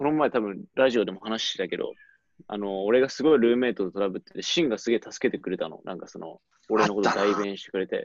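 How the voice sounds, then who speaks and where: Speaking at a fairly quick pace, a man delivers his words with lively intonation. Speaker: former study-abroad student. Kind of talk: casual chat. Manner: animated.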